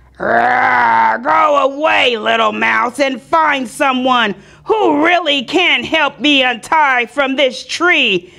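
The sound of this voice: A female-sounding put-on character voice shouts at a high pitch. The pace is very slow, yet there are hardly any pauses.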